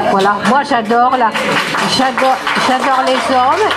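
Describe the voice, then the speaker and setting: In a room with audible echo and crowd noise behind her, a woman speaks at a fairly slow pace. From France. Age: 80s+. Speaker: retired teacher, rally speaker. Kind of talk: public speech at a rally.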